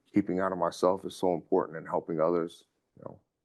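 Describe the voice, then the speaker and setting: The voice is loud, with an American accent. The intonation is monotone and flat. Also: man. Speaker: community reentry manager, formerly incarcerated. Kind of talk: interview testimony. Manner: halting, many fillers and repetitions.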